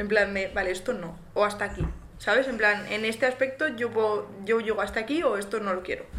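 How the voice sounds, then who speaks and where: Over noticeable background noise and audible room echo, a woman speaks at a fairly quick pace with a fairly high pitch. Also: ordinary pitch variation. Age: 20s. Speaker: podcast co-host, nursing student. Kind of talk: casual chat.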